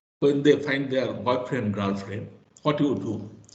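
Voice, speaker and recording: There is audible room echo as a man speaks with very wide pitch swings. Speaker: professor. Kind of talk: lecture. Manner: halting.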